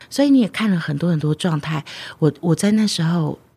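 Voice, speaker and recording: This woman's voice is somewhat breathy. She talks at a moderate pace, and her pitch varies in an ordinary way. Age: 30s. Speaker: tarot card author and healer. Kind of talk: interview.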